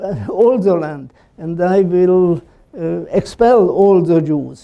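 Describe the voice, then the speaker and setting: This man speaks at a very slow pace with a high pitch and a dark, mellow tone. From Slovakia. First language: Slovak. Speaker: Holocaust survivor and columnist. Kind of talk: talk with audience questions. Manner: halting, many fillers.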